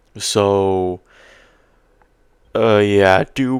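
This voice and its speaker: The speaker is a man with a fairly low pitch. His intonation stays fairly even. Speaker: podcast co-host reviewing anime. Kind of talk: casual chat. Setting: live stream. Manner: loud.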